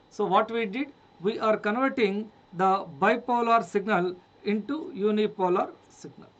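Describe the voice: The voice belongs to a man and sits high in pitch. He talks at a fairly slow pace with ordinary pitch variation.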